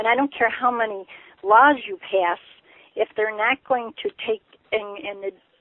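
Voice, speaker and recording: A woman's fairly high voice at a moderate pace, with ordinary pitch variation and long, frequent pauses. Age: 60s. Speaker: caller. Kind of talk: call-in question. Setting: phone call.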